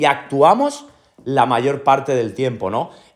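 With lively intonation, a man with a plain, everyday voice speaks at a fairly slow pace. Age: 30s. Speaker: podcast host, entrepreneur, former soldier. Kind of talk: motivational monologue. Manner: repeats filler "¿no?" and "¿ok?".

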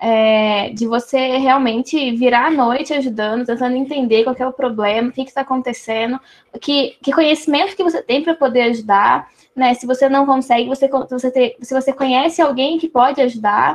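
The woman's voice sits high in pitch. It varies in pitch in an ordinary way. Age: 20s. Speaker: computer engineering student, program ambassador. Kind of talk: casual group video chat. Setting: video call.

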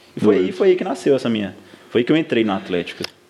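His pitch swings very widely. The man speaks at a very fast clip. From Minas Gerais, Brazil (south of Minas, then Ouro Branco). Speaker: football club social media staffer. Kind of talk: casual chat.

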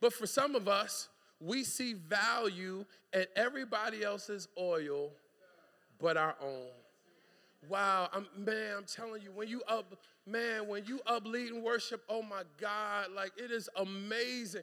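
A raised, projected, animated man's voice, high in pitch, bright and sharp in tone, at a fairly slow pace with ordinary pitch variation. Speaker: preacher. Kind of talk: sermon. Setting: church. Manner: exhortative, conversational.

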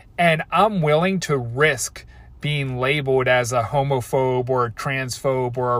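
A somewhat breathy man with a Baltimore accent, on a very clean recording with a silent background. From US, Baltimore. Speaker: podcast host and coach. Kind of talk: solo rant. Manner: casual, hesitant with many fillers.

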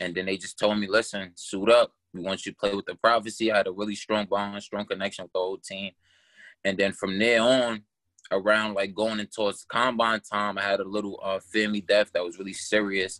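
In a New York accent, a bright, sharp voice moves at a fairly quick pace with monotone, flat intonation and big swings in loudness. The recording is very clean and silent in the background, dry and close with no echo. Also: man, fairly low pitch for a man. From Brooklyn, New York (Canarsie). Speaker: esports gamer. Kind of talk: casual interview. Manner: hesitant, many fillers.

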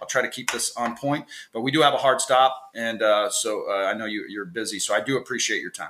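A man speaks at a fairly quick pace with lively intonation. He has an ordinary speaking voice. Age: 40s. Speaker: podcast host, former basketball coach. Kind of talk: casual interview.

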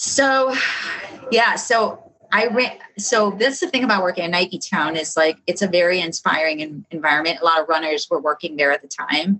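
A woman with a medium-pitched voice talks at a moderate pace with lively intonation. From South Side Chicago. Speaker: running store specialist. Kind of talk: casual interview.

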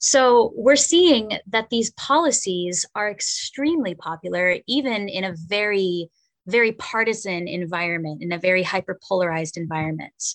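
Speaking at a moderate pace with hardly any pauses, a woman has an unremarkable speaking voice at medium pitch. The sound is dry and close, with no echo. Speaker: media and digital coordinator. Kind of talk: radio interview.

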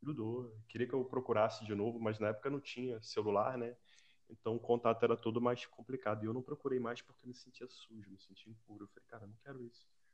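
The man's voice sits at a medium pitch. He talks at a very fast pace in a monotone, flat intonation. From Brazil (Rio de Janeiro). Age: 40s. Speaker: civil servant. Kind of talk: casual chat.

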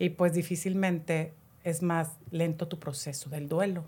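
In a Mexican accent, a woman talks at a fairly slow pace with a somewhat breathy, fairly low voice and ordinary pitch variation, on a very clean recording with a silent background. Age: 50s. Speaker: natural products shop owner. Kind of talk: casual chat.

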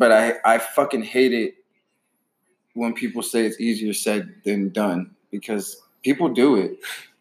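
With ordinary pitch variation, a man of medium pitch talks at a fairly slow pace. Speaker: podcast host. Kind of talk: casual chat. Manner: profane, casual.

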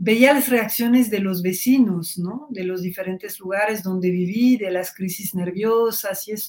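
A woman with a French accent speaks with hardly any pauses, somewhat breathy, with ordinary pitch variation. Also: medium pitch for a woman, fairly slow pace. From Belgium, Brussels. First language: French (speaking Spanish). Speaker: journalist and author. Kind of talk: interview.

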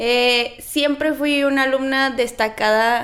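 Her intonation fairly even, a woman speaks. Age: 20s. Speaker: nutritionist. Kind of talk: casual interview.

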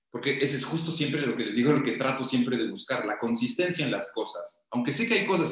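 Amid audible room echo, a man talks at a fairly quick pace with lively intonation. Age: 30s. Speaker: podcast guest talking numerology and lucid dreams. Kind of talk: casual interview.

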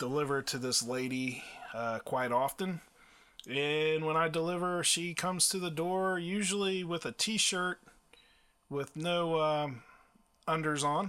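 On a very clean recording with a silent background, a man speaks at a fairly slow pace and a fairly high pitch, with a bright, sharp tone, ordinary pitch variation and long, frequent pauses. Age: 40s. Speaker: podcast co-host, delivery driver and music producer. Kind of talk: casual chat.

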